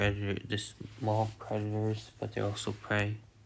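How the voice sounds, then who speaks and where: A man's fairly low, monotone voice with flat intonation at a very slow pace. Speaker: YouTuber narrating speculative biology video. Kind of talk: unscripted voice-over narration. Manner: halting, many fillers and restarts.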